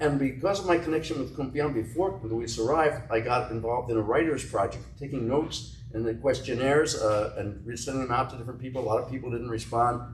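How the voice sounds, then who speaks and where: Speech moves at a fairly quick pace with hardly any pauses. The recording has audible room echo and noticeable background noise. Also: man. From US, New Jersey. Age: 80s+. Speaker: author and literary historian. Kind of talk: interview conversation.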